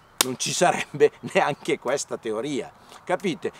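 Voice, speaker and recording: A man speaks at a fairly slow pace. The sound is dry with no echo, but noticeable background noise is present. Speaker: presenter. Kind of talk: lively explanatory monologue to camera. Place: forest.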